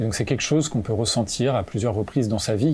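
A man's somewhat breathy voice has a dark, mellow tone, medium pitch and ordinary pitch variation. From France (Normandy and La Rochelle). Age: 20s. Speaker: climate activist and author. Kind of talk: interview. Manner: hesitant, with frequent fillers.

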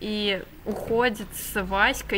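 Against light background noise, a woman speaks with fairly even intonation. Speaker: book reviewer. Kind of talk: casual vlog retelling and commentary. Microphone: webcam.

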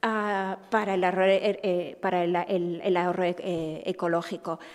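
A woman in an Asturian accent speaks with fairly even intonation against a quiet background. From Asturias. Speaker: festival organizer. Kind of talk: press conference. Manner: halting. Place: meeting room. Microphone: podium.

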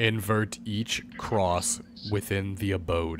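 Over clear background noise, a put-on character voice talks at a very slow pace. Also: man, fairly low pitch for a man. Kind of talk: archaic, solemn commands. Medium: game stream. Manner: imperious, cold.

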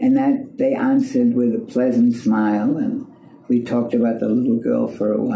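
A woman talks at a moderate pace in audible room echo. Light background noise is present. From Germany. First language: German. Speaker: civil rights activist; interviewee. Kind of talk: personal storytelling. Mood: warm, smiling recollection. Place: home room.

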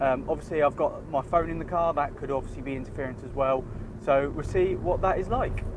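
A man speaks at a fairly quick pace while noticeable background noise runs underneath. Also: ordinary pitch variation, dry sound with no echo. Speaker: tech reviewer. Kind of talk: casual vlog chat. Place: car. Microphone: lapel.

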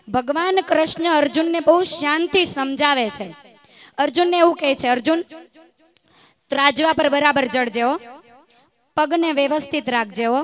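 There is light background noise as a woman with a high pitch speaks, the sound dry with no echo. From Gujarat. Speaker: community speaker; speaker. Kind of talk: stage speech. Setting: stage with audience. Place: stage. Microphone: handheld.

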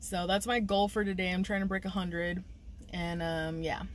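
A woman with ordinary pitch variation, over light background noise. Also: dry sound with no echo. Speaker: delivery driver vlogger. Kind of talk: casual vlog chat. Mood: upbeat, talkative. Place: car. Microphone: phone near.

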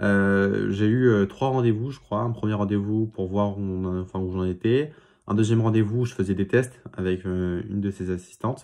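In a dark, mellow tone, a man speaks at a moderate pace with fairly low pitch. His intonation is fairly even, and the background is quiet. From Paris region, France; France. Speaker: student YouTuber. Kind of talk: vlog monologue. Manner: halting, many filler sounds. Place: home room. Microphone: phone near.

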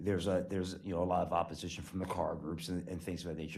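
A man with a very deep, low voice talks at a very fast pace, with audible room echo. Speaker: state legislative lobbyist. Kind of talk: briefing at council work session. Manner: halting, many fillers.

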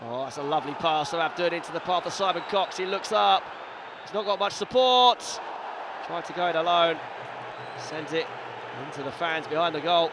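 A man talks at a fairly quick clip in a high voice, with long, frequent pauses. The sound is dry with no echo, and background noise is noticeable. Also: ordinary pitch variation. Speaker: match commentator. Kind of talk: live football match commentary over highlights.

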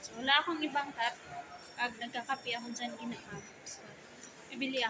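Raising and projecting her voice, a woman speaks in a bright, sharp tone. Her pitch variation is ordinary. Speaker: vlogger. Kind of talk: casual vlog narration. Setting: walking through a mall.

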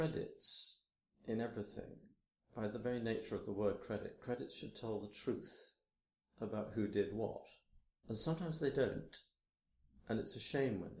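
A soft-spoken man at a moderate pace, medium-pitched and somewhat breathy, with long, frequent pauses. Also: ordinary pitch variation. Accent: British. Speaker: theatre and opera director. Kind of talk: interview answer.

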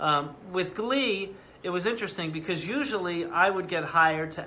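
A man speaks with an American accent at a moderate pace. He has an ordinary speaking voice with ordinary pitch variation. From US New England, New Haven, Connecticut. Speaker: orchestra conductor. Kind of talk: casual interview. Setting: video call.

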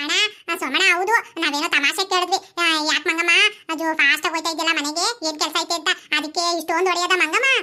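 A woman uses a put-on character voice at an extremely high pitch. Her intonation is fairly even and her pace fairly quick. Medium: comedy sketch.

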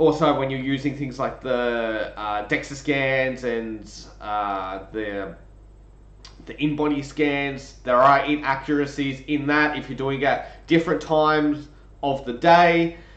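Audible room echo surrounds a man's voice. He talks at a fairly slow pace with ordinary pitch variation. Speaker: strength coach. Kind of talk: lecture. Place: home room. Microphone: webcam.

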